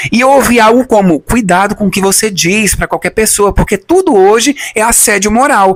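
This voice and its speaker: A man speaks in an animated tone at a moderate pace. His voice is high, with ordinary pitch variation. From Brazil. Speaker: youtuber, former immigrant. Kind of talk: personal testimony, storytelling vlog. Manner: animated, conversational.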